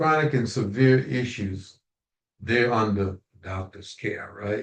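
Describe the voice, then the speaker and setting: At a very slow pace, a man with a medium pitch and ordinary pitch variation sounds somewhat breathy, his loudness swinging widely. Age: 70s. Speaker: natural health consultant, minister. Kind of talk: casual chat. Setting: community call.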